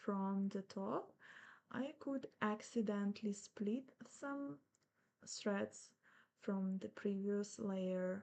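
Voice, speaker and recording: A woman at a medium pitch talks at a very slow pace, her pitch varying in an ordinary way. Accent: non-native. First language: not English. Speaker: embroidery teacher. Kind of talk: tutorial. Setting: live stream. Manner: casual, with fillers and self-corrections.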